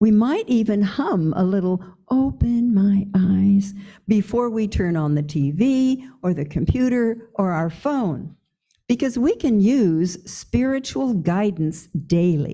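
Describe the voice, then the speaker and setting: A woman speaks at a medium pitch with very wide pitch swings and a very slow pace. Her tone is dark and mellow, and somewhat breathy. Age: 80s+. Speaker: pastor. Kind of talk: sermon.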